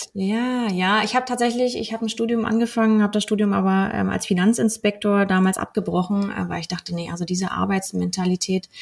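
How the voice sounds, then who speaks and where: Speaking at a fairly quick pace, a woman with a plain, everyday voice keeps a medium pitch and fairly even intonation. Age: 30s. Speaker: mortgage broker. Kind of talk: podcast interview.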